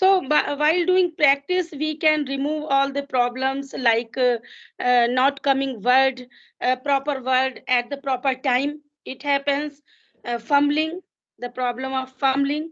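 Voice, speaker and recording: A woman speaks at a fairly slow pace with an Indian accent and fairly even intonation. Her high-pitched voice sits over a quiet background. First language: Hindi. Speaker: English learner. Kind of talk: casual conversation practice. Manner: halting, with frequent fillers.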